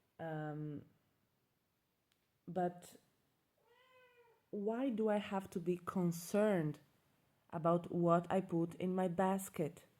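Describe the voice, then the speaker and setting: A woman speaks with a dark, mellow tone, a fairly low pitch and fairly even intonation. Her pace is very slow, with long, frequent pauses. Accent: non-native. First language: not English. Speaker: self-growth vlogger. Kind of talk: casual monologue. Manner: halting.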